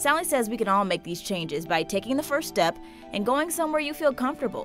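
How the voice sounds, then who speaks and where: Over music in the background, a woman talks very fast with very wide pitch swings. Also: fairly high pitch for a woman. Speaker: news reporter. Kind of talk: TV news feature narration.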